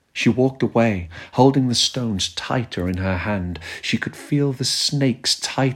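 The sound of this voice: An unforced reading voice carries the text.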